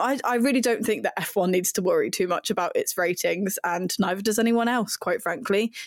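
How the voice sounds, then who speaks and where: With a southern English accent, a woman talks at a fairly quick pace with hardly any pauses, her fairly high pitch carried at very even loudness. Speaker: website editor and F1 pundit. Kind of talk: casual chat.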